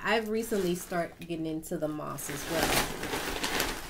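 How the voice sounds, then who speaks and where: Amid noticeable background noise and audible room echo, a woman speaks at a fairly slow pace with a fairly low pitch. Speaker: gardening YouTuber. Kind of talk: casual tutorial vlog. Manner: halting, self-correcting.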